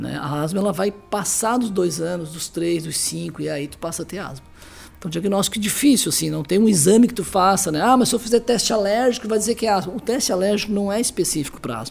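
A man at a high pitch, very fast pace, ordinary pitch variation and big swings in loudness. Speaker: pediatrician. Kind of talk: interview. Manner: halting.

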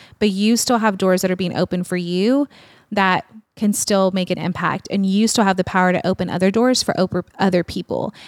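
In a very clean recording with a silent background and a dry, close sound with no echo, a woman with an ordinary speaking voice talks at a fairly quick pace with fairly even intonation. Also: medium pitch for a woman. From small-town Texas. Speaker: speaker and nonprofit ministry leader. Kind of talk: casual interview chat. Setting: studio couch.

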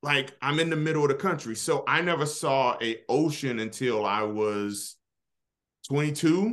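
This man has a plain, everyday voice, a fairly high pitch, lively intonation and an American accent, and he speaks at a fairly slow pace. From Kansas City, Kansas, US Midwest. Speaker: media executive. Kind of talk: casual interview.

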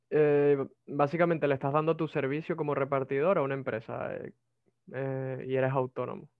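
In a Venezuelan accent, a man speaks at a moderate pace with a fairly high pitch and monotone, flat intonation. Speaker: migrant telemarketer and programming student. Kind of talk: casual interview. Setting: video call.

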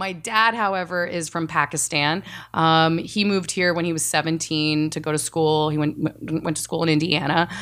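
A woman with an American accent and a plain, everyday voice talks at a moderate pace with fairly even intonation and hardly any pauses on a very clean recording with a silent background. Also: fairly low pitch for a woman. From Texas. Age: 30s. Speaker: reality casting producer. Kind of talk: casual interview.

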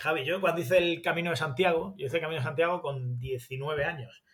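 A man's bright, sharp tone comes at a fairly high pitch and fairly quick pace, with ordinary pitch variation. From Spain, Granada. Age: 40s. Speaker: sports journalist. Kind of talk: interview.

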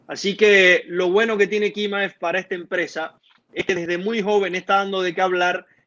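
A man speaks at a fairly quick pace with a high pitch. His intonation is monotone and flat, over a quiet background. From Venezuela, Maracaibo. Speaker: MMA journalist. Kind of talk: live-stream sports discussion.

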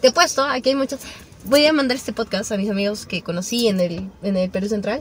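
There is noticeable background noise as a woman speaks fairly quickly, her pitch fairly high and her pitch variation ordinary. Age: young. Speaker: podcast guest. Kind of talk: casual chat.

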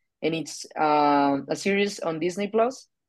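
A woman speaks in a Spanish accent. Her pitch is very deep and low. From Colombia. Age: 20s. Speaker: political scientist. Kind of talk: debate. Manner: halting.

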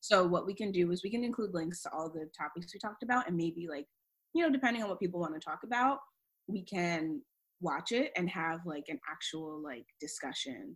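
In an American accent, a woman with an ordinary speaking voice talks at a fairly quick pace. Her pitch is fairly low, and her intonation is lively. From Maryland, US. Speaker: podcast co-host, PhD student. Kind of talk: casual chat.

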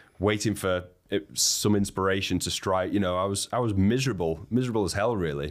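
In a Lancashire accent, a man speaks at a fairly low pitch on a very clean recording with a silent background. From northern England, Wigan. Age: 30s. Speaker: expedition leader. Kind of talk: interview conversation.

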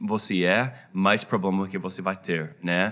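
A man's fairly low voice with a bright, sharp tone, ordinary pitch variation and an American accent. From United States. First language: English (speaking Portuguese). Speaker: pastor. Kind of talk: interview. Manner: halting, many fillers.

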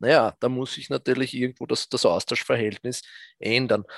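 A man speaks in a monotone with flat intonation against a quiet background. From Austria, south of Vienna. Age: 40s. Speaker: fund manager. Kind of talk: interview. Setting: remote live stream from office. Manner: halting, many fillers.

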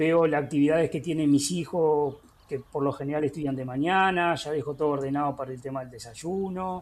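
The speaker has a Uruguayan accent and ordinary pitch variation. The background is quiet. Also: man. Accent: rioplatense Uruguayan Spanish. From Uruguay, Florida department (Villa Cardal). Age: 50s. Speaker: agricultural teacher. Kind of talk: interview. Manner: halting with fillers.

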